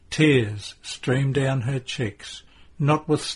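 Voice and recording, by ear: With ordinary pitch variation, the text is read out in a natural voice.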